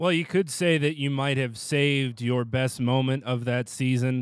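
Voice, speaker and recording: Delivered at a fairly slow pace, a normal speaking voice keeps fairly even intonation. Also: man. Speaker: sports podcast host. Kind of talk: radio show hosting and interview.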